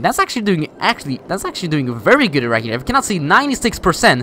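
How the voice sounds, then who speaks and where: Over noticeable background noise, a man with a non-native accent talks at a very fast pace in a raised, projected voice, his pitch swinging very widely. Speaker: gaming youtuber. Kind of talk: gameplay commentary. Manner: halting; casual.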